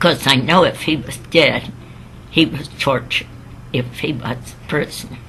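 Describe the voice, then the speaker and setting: A woman speaks over noticeable background noise. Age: 80s+. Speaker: sister of a missing WWII sailor. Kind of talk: interview answer, personal recollection.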